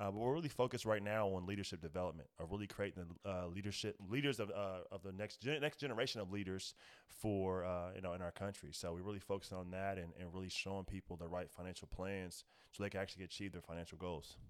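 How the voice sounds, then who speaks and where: In a very clean recording with a silent background, a man with an American accent speaks at a very deep, low pitch. He talks at a very fast pace with hardly any pauses and ordinary pitch variation. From Indiana. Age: 20s. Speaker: financial advisor. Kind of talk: casual podcast interview.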